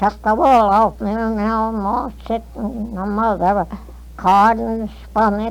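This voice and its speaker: Her pitch is fairly high and her intonation monotone and flat. The woman speaks at a fairly slow pace. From North Carolina. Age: 80s+. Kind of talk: interview answer. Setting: old field recording. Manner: hesitant, halting.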